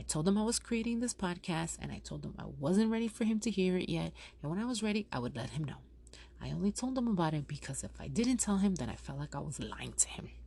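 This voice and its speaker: A woman with a New York accent talks at a very fast pace on a very clean recording with a silent background. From Yonkers, New York. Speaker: furniture store owner, podcaster. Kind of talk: casual podcast talk. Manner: chatty.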